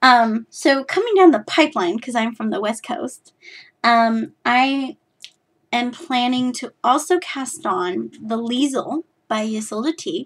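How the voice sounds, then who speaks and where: A woman with an American accent speaks at a high pitch and a fairly slow pace. Her intonation is lively. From California. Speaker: knitting podcaster. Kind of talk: casual chat.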